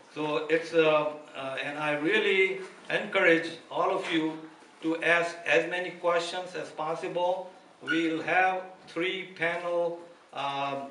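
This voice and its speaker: A man's high-pitched voice at a very slow pace with fairly even intonation, light background noise and audible room echo. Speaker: event host. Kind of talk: announcements to an audience. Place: hall. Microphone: podium.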